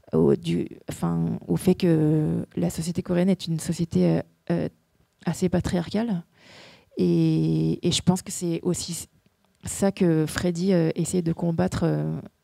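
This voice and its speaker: A woman at a very slow pace with long, frequent pauses, in a dry, close sound with no echo on a very clean recording with a silent background. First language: Korean (speaking French). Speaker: actress. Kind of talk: festival Q&A. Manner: halting, many repetitions and hesitations.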